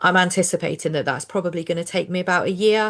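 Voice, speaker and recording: Against a quiet background, a woman with a southern English accent speaks at a fairly low pitch with ordinary pitch variation. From southern England. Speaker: social worker and finance coach. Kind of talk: casual chat. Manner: conversational with fillers.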